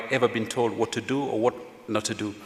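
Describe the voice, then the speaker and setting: With a Kenyan accent and ordinary pitch variation, the voice comes through over noticeable background noise. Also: man. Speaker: veteran journalist, former editor. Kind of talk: panel discussion.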